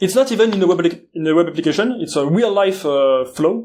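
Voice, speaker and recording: With a French accent, a man talks at a high pitch with ordinary pitch variation. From France. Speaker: security conference speaker. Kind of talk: conference talk. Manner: halting, many filler uhs.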